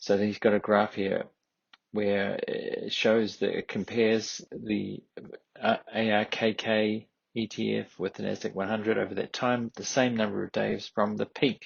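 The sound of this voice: Speaking at a fairly slow pace, a man with a fairly low pitch uses little pitch movement, with vocal fry and a slightly husky edge.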